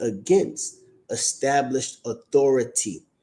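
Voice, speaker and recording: Speaking at a very slow pace, a man uses a dark, mellow tone with ordinary pitch variation. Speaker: religious teacher. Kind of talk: online teaching stream.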